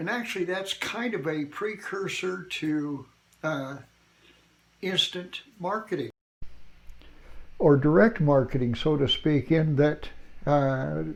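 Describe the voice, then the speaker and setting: Speaking at a very slow pace, a man has a fairly high pitch and lively intonation. Long, frequent pauses break up his speech. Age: 80s+. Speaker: retired entrepreneur vlogger. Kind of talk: casual talk to camera. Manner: halting.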